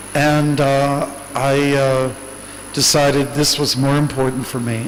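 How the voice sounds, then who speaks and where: A man with a Canadian accent speaks at a fairly high pitch, amid noticeable background noise and audible room echo. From Canada. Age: 60s. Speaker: monk. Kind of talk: Q&A talk.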